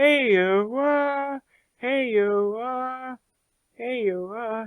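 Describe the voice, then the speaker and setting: The put-on character voice sits at a fairly high pitch and moves at a very slow pace. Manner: repetitive squawking call.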